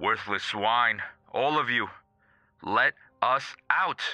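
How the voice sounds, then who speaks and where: In a put-on character voice, a man hisses his words at a very slow pace with a medium pitch. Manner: hissed, hostile.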